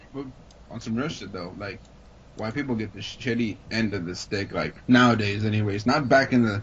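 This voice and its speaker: A man with a medium-pitched, somewhat breathy voice talks at a moderate pace, his loudness swinging widely while his pitch varies an ordinary amount. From Mexican heritage. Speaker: podcast host. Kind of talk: casual chat. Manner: animated.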